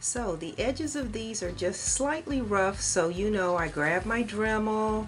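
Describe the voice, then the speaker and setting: Medium-pitched female speech at a fairly slow pace, with music in the background and audible room echo. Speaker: resin artist and craft tutorial maker. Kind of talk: tutorial. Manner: loud.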